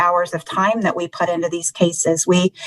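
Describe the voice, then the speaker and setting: A woman with a Southern US accent speaks at medium pitch and a moderate pace, in a monotone, flat way. The sound is dry and close, with no echo. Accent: Florida Southern. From Florida. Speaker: genealogy search volunteer. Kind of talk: interview.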